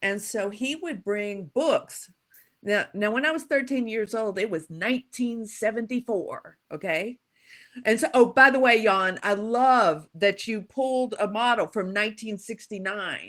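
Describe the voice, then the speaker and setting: Against a very clean recording with a silent background, a woman with an American accent talks at a fairly slow pace. She has an unremarkable speaking voice, fairly high in pitch, with ordinary pitch variation. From US South, Louisiana. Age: 60s. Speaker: psychological safety expert and author. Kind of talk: guest talk.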